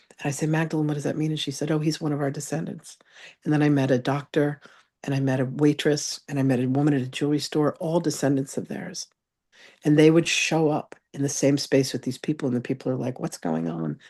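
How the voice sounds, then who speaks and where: Over a quiet background, a woman speaks at a very fast pace with a very deep, low pitch, vocal fry and a dark, mellow tone. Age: 60s. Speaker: psychic medium and spiritual author. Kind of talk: interview testimony. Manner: animated.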